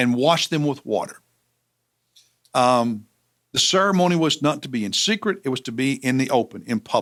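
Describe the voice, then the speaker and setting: Here a man speaks in a Southern US accent. His intonation is lively. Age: 60s. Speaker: pastor. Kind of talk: Bible teaching. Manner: halting, with many fillers.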